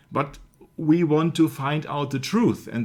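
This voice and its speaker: A man is speaking. He has a German accent. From Germany. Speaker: researcher of religious media topics. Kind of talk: casual discussion.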